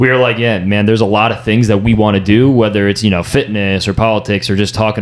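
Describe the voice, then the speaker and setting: Over noticeable background noise, a man rattles along at a very fast pace, fairly low in pitch and monotone, with flat intonation. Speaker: podcast host. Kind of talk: casual chat.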